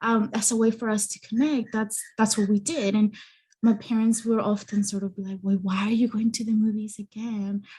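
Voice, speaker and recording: A woman's somewhat breathy, dark, mellow voice with a Spanish accent, fairly high in pitch and flat, monotone in intonation. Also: moderate pace. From Mexican-American, US. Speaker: therapist and psychology content creator. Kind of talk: podcast interview. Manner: halting, many fillers.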